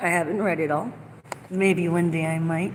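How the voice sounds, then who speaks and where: Amid noticeable background noise and audible room echo, a woman speaks at a moderate pace in a fairly low pitch with ordinary variation. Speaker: vlogger. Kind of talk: casual monologue vlog. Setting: inside a store. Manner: loud.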